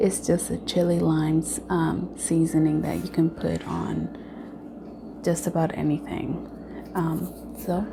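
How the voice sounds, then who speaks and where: Soft-spoken, a woman talks at a very slow pace amid noticeable background noise. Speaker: YouTube vlogger. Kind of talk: casual mukbang vlog chat. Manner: soft-spoken, talking low.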